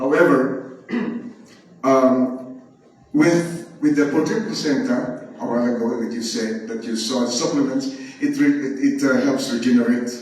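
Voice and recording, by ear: Speaking at a fairly slow pace with strong room echo, a man keeps a medium pitch and fairly even intonation. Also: slightly mellow tone.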